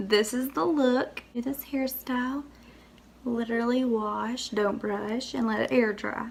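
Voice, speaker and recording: A woman's fairly high voice at a fairly slow pace, fairly even in intonation, with noticeable background noise. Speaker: beauty vlogger. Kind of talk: makeup tutorial. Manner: casual, chatty.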